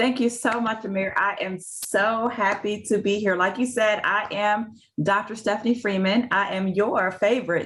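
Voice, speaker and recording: A woman's fairly high-pitched voice in a Southern US accent. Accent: real Southern. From US South (Tuscaloosa, Alabama). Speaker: physician and career coach. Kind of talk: interview.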